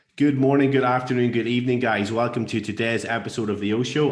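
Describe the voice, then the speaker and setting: A man talks fairly quickly with fairly even intonation, while noticeable background noise and audible room echo surround him. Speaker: podcast host. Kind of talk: casual podcast interview. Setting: podcast.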